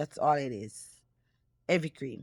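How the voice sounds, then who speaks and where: A woman in a Jamaican accent speaks with lively intonation, the sound dry and close with no echo. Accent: Jamaican English with patois. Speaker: cooking YouTuber. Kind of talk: cooking tutorial. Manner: casual, chatty.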